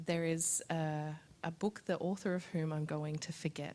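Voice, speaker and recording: The voice is dark and mellow in tone, flat and monotone in intonation, at a moderate pace. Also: woman. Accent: Australian. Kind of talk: panel discussion answer. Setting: live event with audience, recorded on Zoom.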